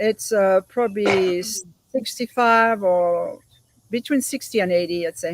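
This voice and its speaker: A woman speaks in a French accent. The sound is dry and close, with no echo. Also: medium pitch for a woman, ordinary pitch variation, fairly slow pace. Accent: French accent, noticeable. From France, Paris suburbs. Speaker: volunteer organizer, guest. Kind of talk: interview conversation.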